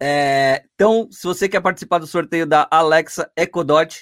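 A man's normal speaking voice, fairly high in pitch, with ordinary pitch variation and a fairly slow pace. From Santos, Brazil. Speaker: podcast host. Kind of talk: casual podcast interview. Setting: online/livestream with chat.

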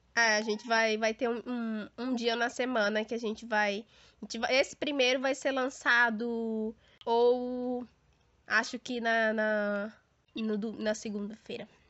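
The woman's pitch sits fairly high. She talks at a fairly slow pace with monotone, flat intonation. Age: 20s. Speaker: podcast co-host. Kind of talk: casual chat.

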